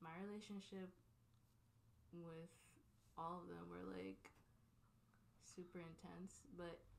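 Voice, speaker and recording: Fairly slow female speech, with the room's echo audible. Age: 20s. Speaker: podcast host. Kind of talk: casual chat.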